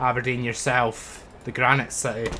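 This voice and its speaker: A man's medium-pitched voice with a Scottish accent. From Scotland, Fife. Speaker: streamer. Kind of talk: live gameplay commentary. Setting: livestream. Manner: casual, chatty.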